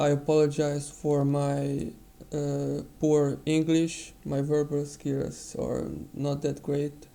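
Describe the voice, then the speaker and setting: Very slow speech in a non-native accent. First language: not English. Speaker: digital painting tutor. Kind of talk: tutorial. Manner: halting.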